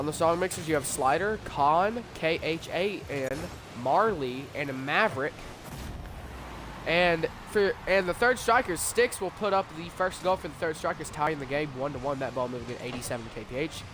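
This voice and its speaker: A man talks with lively intonation and a fairly high pitch, keeping a moderate pace while noticeable background noise runs underneath. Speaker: sports commentator. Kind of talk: live commentary.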